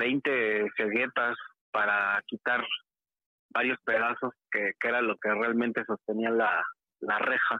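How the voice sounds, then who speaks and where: A man speaks with a Mexico City accent at a medium pitch. His pace is very slow. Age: 30s. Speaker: caller. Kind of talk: testimony.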